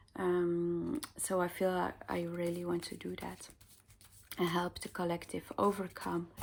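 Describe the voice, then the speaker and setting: A fairly low-pitched woman with a Dutch accent, fairly slow and fairly even in intonation. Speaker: spiritual card reader. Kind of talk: casual chat to viewers; tarot card reading. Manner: hesitant, many fillers.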